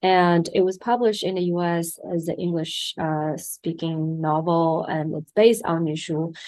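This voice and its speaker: A woman with a Chinese accent speaks at a fairly slow pace and a fairly low pitch, with fairly even intonation and hardly any pauses. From China. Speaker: documentary film director. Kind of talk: interview.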